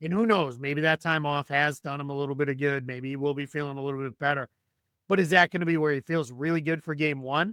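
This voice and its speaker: With a bright, sharp tone, a man talks at a very fast pace and fairly even intonation, the sound dry and close with no echo. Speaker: basketball analyst. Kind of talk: podcast discussion. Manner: conversational, with fillers and restarts.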